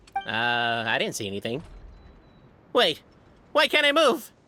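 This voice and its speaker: At a moderate pace and a middle pitch, the speaker uses a put-on character voice. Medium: video game.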